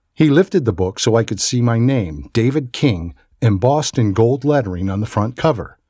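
Lively intonation in an unforced voice reading aloud

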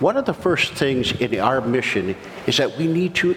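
The intonation is lively and the pace moderate. Noticeable background noise runs underneath. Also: man. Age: 60s. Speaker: pastor. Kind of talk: sermon. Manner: halting.

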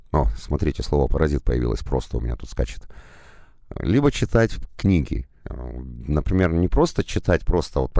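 A man with a very deep, low pitch and vocal fry swings his pitch very widely. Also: very clean recording, silent background. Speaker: audiobook narrator. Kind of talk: monologue advice.

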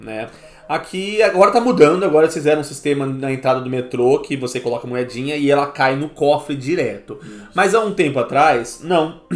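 A man's fairly high, lively voice at a fairly quick clip, with noticeable background noise. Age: 30s. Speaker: podcast host. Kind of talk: casual chat.

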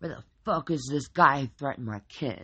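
A put-on character voice at a moderate pace, low-to-middle in pitch. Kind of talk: crude. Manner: aggressive, swaggering.

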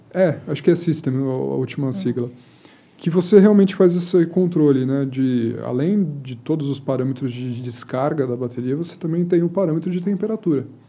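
This man has a plain, everyday voice with a fairly high pitch. He keeps a moderate pace and ordinary pitch variation. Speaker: automotive engineer and project coordinator. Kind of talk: casual chat. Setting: studio.

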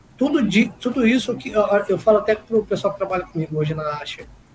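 Over noticeable background noise, a man with a high pitch speaks at a fairly quick pace, his pitch swinging very widely. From Brazil, Guaratinguetá, São Paulo state. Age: 40s. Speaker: car dealership owner. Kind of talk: casual interview.

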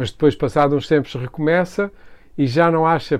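Speaking at a fairly quick pace, a man with a fairly high pitch uses an ordinary speaking voice with ordinary pitch variation. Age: 60s. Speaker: architect. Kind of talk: interview conversation.

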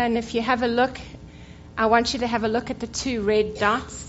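A woman speaks in a South African accent. Her pitch is fairly high. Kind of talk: church talk. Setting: church.

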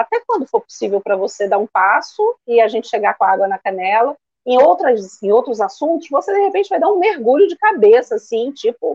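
Recorded with a dry, close sound and no echo, the voice moves at a moderate pace with very wide pitch swings. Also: woman. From Rio de Janeiro, Brazil. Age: 50s. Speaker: therapist. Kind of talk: live-stream interview.

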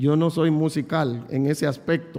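A man speaks at a moderate pace with ordinary pitch variation. He has a plain, everyday voice. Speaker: pastor. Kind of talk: sermon.

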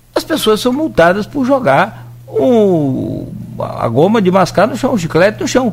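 Over noticeable background noise, a man speaks at a fairly slow pace in a high pitch, with very wide pitch swings and hardly any pauses. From Brazil, Rio de Janeiro state (Italva). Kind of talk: radio interview.

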